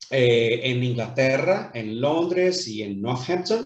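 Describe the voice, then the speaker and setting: The man's voice is medium in pitch and somewhat breathy. He talks at a very slow pace. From Brazil, Rio de Janeiro. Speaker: businessman. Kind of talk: interview. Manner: hesitant, many fillers.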